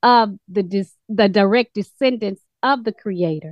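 Her speech comes fairly slowly. A woman, with ordinary pitch variation. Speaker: study group participant. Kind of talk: casual chat. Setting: video call.

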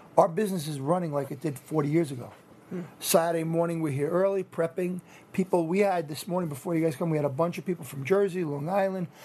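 Very fast speech in a New York accent, with fairly even intonation. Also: man, high pitch for a man. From Rockland County, New York. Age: 50s. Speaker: deli owner. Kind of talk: on-location interview. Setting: indoor marketplace.

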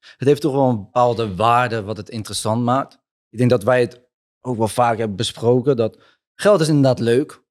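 In a very clean recording with a silent background, a man with an unremarkable speaking voice talks at a moderate pace, his medium pitch showing ordinary variation. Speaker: podcast host. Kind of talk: interview. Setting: at guest's home.

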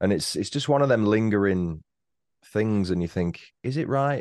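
A man's dark, mellow voice with a British accent, very wide pitch swings and a fairly quick pace. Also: quiet background. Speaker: true-crime podcaster. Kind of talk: casual chat. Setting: home studio.

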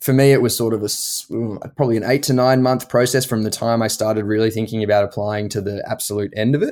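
In a very clean recording with a silent background, a man with an Australian accent speaks at a fairly quick pace, his medium pitch and intonation fairly even. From Australia, Melbourne. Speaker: medical doctor. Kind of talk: interview.

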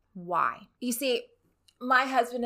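On a very clean recording with a silent background, a woman with an American accent talks at a very slow pace in a bright, sharp tone. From Rio Grande Valley, Texas. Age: 30s. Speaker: podcast host and criminologist. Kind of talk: solo podcast narration.

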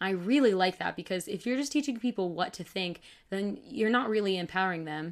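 A woman with an ordinary speaking voice talks at a fairly quick pace, medium in pitch with lively intonation. The recording is very clean, with a silent background. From Michigan. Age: 20s. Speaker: bible teacher. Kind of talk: casual chat.

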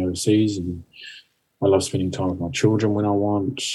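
A fairly low, somewhat breathy man's voice with a New Zealand accent, dark and mellow in tone, calm, fairly quick, with fairly even intonation. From New Zealand, Napier. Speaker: life coach and mentor. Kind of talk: interview.

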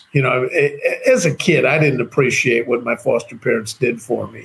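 A man with a Chicago accent, fairly high in pitch, at a moderate pace. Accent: American (Chicago). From US, Chicago. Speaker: entrepreneur and author. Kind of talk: interview conversation. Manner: halting, with many repeated words.

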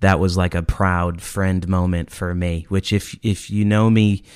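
A man's very deep, low voice at a very slow pace, monotone and flat, on a very clean recording with a silent background. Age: 30s. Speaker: podcast host. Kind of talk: casual chat.

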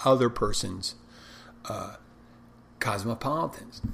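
There is noticeable background noise behind a man's voice. He speaks at a medium pitch and a moderate pace. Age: 50s. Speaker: bartender and podcast host. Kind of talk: casual solo talk. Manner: loud, barking.

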